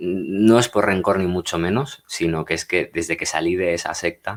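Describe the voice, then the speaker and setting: In a very clean recording with a silent background, a man with a very deep, low pitch talks at a fairly slow pace with ordinary pitch variation. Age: 30s. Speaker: ex-Jehovah's Witness youtuber. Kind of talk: personal testimony. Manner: hesitant, many filler sounds; unscripted, natural.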